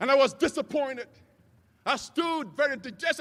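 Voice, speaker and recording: With a Nigerian accent, a man uses a raised, projected voice, his tone animated as well as bright and sharp. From Nigeria, Lagos. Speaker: commencement speaker. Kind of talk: commencement speech.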